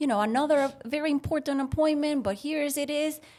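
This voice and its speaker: A woman talks in a Puerto Rican accent. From Puerto Rico. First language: Spanish. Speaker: veterinarian. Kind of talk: casual chat, storytelling.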